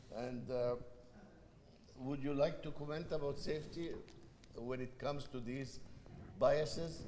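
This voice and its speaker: In an Egyptian accent, a man talks at a fairly slow pace with long, frequent pauses. His pitch is fairly high, his intonation fairly even, and the room echo is audible. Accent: foreign accent, Egyptian. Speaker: panel moderator. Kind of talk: panel discussion.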